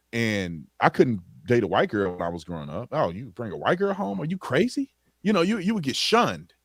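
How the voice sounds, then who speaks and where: Speech comes at a fairly quick pace with very wide pitch swings. The sound is dry and close with no echo, and the recording is very clean with a silent background. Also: man. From Texas (Tyler area, East Texas). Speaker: former police officer and author. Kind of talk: casual podcast interview. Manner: animated, conversational.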